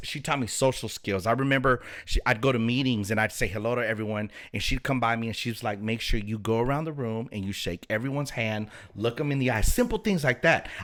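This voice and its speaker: The speech comes at a fairly quick pace in an American accent. The recording is very clean, with a silent background. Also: man. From Los Angeles, California. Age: 40s. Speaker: pastor. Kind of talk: casual chat.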